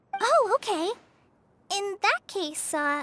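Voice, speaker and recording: A squeaky, put-on character voice from a woman, extremely high-pitched, with lively intonation and a dry, close sound free of echo. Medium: video game. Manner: timid, hesitant.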